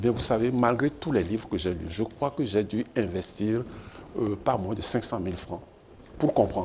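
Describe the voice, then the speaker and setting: The man's pitch is fairly low. His voice sounds somewhat breathy. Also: ordinary pitch variation, moderate pace. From Benin. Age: 70s. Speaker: professor and former minister. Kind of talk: TV interview.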